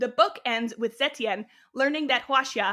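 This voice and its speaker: A woman with a Canadian accent and a bright, sharp tone. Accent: flat Canadian. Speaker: podcast host. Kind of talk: reading aloud.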